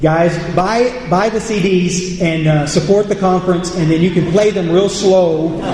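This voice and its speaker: A man speaks at a fairly slow pace in a high voice for a man, his intonation fairly even, with noticeable background noise and audible room echo. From United States. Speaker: AA speaker. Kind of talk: recovery talk to audience. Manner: halting, repeats words.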